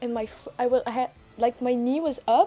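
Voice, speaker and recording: A woman's high-pitched voice moves along at a moderate pace. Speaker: streamer. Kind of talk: casual chat. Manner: loud.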